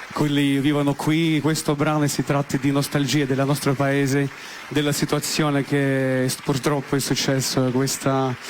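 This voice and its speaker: Noticeable background noise sits behind a man whose fairly high voice has monotone, flat intonation. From Russia. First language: Russian (speaking Italian). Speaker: singer-songwriter. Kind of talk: TV interview. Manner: halting.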